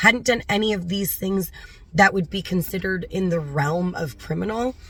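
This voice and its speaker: Moderately paced, somewhat breathy speech from a woman, with ordinary pitch variation. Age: 40s. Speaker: animal rescue volunteer. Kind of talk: personal story told to camera.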